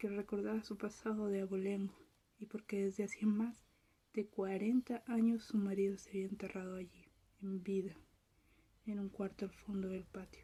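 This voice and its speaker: In a calm, dark, mellow tone, a woman speaks at a moderate pace and medium pitch, somewhat breathy, with monotone, flat intonation. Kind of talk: ASMR soft-spoken reading of a short story. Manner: soft-spoken, whispery, calm.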